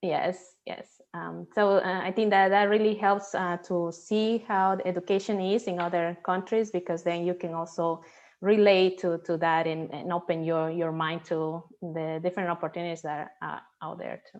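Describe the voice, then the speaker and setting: A woman with a Spanish accent speaks at a moderate pace with hardly any pauses. Her pitch is fairly low and her intonation fairly even. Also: big swings in loudness, quiet background. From Peru. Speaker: NASA systems engineer. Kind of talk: interview. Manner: halting, many fillers.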